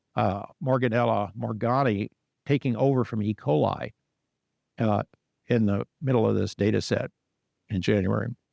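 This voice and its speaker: A fairly low male voice with vocal fry, ordinary pitch variation, a moderate pace, and long, frequent pauses, in dry, close sound with no echo against a quiet background. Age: 70s. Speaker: scientist giving a lecture. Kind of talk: lecture. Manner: conversational with fillers.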